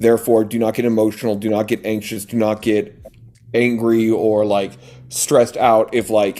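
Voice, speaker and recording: At a moderate pace, a man speaks in a monotone, flat way at medium pitch. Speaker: coaching business owner. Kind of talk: interview.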